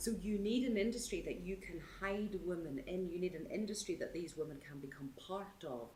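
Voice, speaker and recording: With a Northern Irish accent, a woman talks at a moderate pace and medium pitch with lively intonation and hardly any pauses, and audible room echo surrounds her voice. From Northern Ireland. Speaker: support worker for women in the sex industry. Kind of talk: documentary interview.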